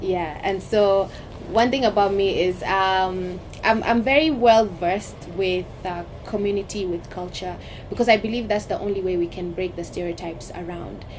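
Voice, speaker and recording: A woman with a medium pitch talks at a moderate pace, with ordinary pitch variation, over noticeable background noise. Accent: Kenyan coastal. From Kenya, Mombasa (coast). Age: 30s. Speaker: politician. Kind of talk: interview conversation.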